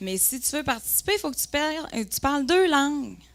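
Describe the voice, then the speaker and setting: A woman's high, animated voice with a Lac-Saint-Jean accent at a moderate pace, in a very clean recording with a silent background. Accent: Lac-Saint-Jean Quebec French. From Quebec, Lac-Saint-Jean. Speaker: entrepreneur, cosmetics company co-founder. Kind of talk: conference talk, personal storytelling. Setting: conference room with audience. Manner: animated, lively.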